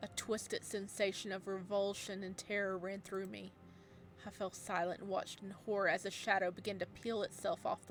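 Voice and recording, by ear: Natural-voiced reading aloud.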